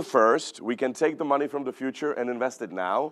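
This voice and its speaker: A man speaks with a Czech accent. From Czech Republic. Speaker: economist. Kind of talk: keynote talk. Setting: stage with audience.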